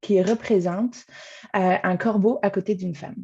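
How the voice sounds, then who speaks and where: A woman's dark, mellow, somewhat breathy voice at a moderate pace against a quiet background. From France. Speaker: arts programming coordinator. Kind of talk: webinar welcome speech. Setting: video call from home.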